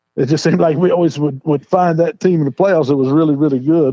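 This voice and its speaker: A man with an American accent at a very fast pace, with ordinary pitch variation. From West Virginia. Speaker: high school football head coach. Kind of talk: interview answer. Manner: plain-spoken.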